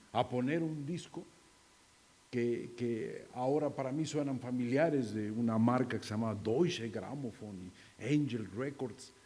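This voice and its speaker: A man talks at a fairly slow pace in a medium pitch, his tone dark and mellow and his pitch varying an ordinary amount. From Mexico, Mazatlán, Sinaloa. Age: 60s. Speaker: acting teacher and theatre director. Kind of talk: keynote talk. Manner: halting.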